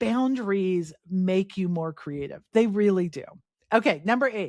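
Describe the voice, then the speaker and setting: With an unremarkable speaking voice, a woman uses lively intonation at medium pitch in a very clean recording with a silent background and a dry, close sound with no echo. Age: 50s. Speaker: podcast host. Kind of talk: solo podcast talk. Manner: casual, conversational with fillers.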